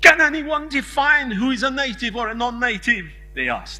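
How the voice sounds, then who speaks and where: Speech comes at a moderate pace, with audible room echo. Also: man. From Hungary. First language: Hungarian. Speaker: conference keynote speaker. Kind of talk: lecture.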